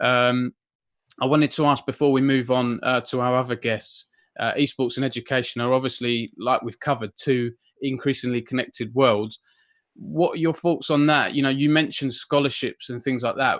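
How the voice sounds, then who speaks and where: A man with an Essex accent at a moderate pace, fairly even intonation, and a dry, close sound with no echo. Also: medium pitch for a man, very clean recording, silent background. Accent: Southern Essex. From Essex, southern England. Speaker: esports journalist and interviewer. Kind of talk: interview.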